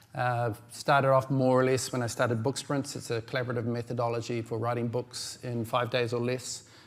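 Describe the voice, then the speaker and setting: Hardly pausing at all, a man with a New Zealand accent speaks in a monotone, flat intonation. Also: medium pitch for a man, fairly quick pace. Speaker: publishing technology founder and conference speaker. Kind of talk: conference presentation. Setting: stage with audience. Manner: fast; hesitant, many fillers.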